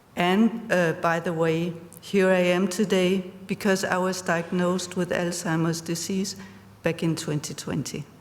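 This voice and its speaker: Over noticeable background noise, a woman speaks fairly slowly in a fairly low voice with monotone, flat intonation. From Denmark. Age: 60s. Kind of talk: conference talk. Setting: stage with audience.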